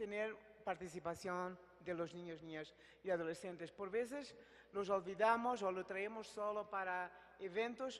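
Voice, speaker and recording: Speaking at a fairly slow pace, a woman keeps her medium-pitched voice to fairly even intonation. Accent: Portuguese. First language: Portuguese (speaking Spanish). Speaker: international agency representative. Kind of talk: closing remarks at a public forum.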